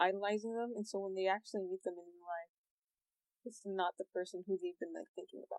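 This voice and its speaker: A woman talks very fast in a flat monotone, her loudness swinging widely, with a dry, close sound and no echo. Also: medium pitch for a woman. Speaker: artist. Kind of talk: casual chat.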